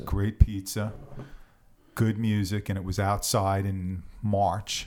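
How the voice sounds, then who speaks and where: In a New York accent, a man speaks at a very slow pace. His voice sits fairly low in pitch with monotone, flat intonation. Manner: casual, conversational storyteller.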